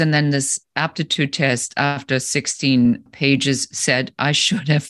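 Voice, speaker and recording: With a German accent, a woman speaks in a very deep, low pitch against a quiet background. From Germany. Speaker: business coach and entrepreneur. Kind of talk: interview.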